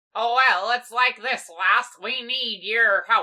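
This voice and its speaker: A female-sounding voice puts on a character voice, fairly high-pitched for a woman and delivered at a fairly slow pace. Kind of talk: stage pirate talk. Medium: fan dub. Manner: gruff, commanding.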